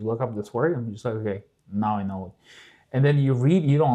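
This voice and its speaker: Against a quiet background, a man with a slight Russian accent talks at a very fast pace in a medium pitch, with a dark, mellow tone and ordinary pitch variation. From southern Russia, Kalmyk. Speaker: podcast guest. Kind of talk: casual chat. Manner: halting.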